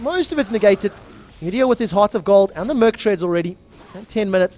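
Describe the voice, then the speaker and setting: A man with a South African accent sounds animated and speaks at a high pitch. The recording is very clean, with a silent background and a dry, close sound with no echo. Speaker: esports shoutcaster. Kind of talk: live commentary.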